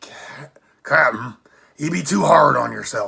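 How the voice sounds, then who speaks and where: A raspy, put-on character voice at a fairly slow pace. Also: man. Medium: read story.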